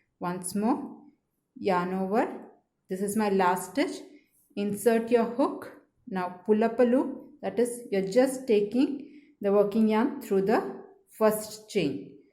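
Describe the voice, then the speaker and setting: With long, frequent pauses and a very slow pace, a woman uses a fairly high pitch, a dark, mellow tone and lively intonation, and the room echo is audible. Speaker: crochet teacher. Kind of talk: tutorial.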